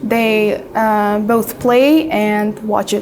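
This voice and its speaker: A woman at a fairly high pitch amid noticeable background noise. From Uzbekistan. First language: Uzbek. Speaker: IELTS exam candidate. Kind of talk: mock speaking exam interview. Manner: hesitant with frequent fillers.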